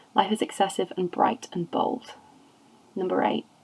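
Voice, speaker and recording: Noticeable background noise fills the recording. Over it, a woman talks at a moderate pace. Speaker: amateur reader. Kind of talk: poetry reading. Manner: occasionally stumbles over words.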